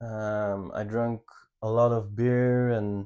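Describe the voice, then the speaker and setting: A man's very slow, monotone delivery with flat intonation and a dark, mellow tone at a medium pitch, with a slight Belgian accent, on a very clean recording with a silent background. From Belgium, Ghent. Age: 30s. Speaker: channel co-host. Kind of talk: personal life story. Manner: halting, with fillers.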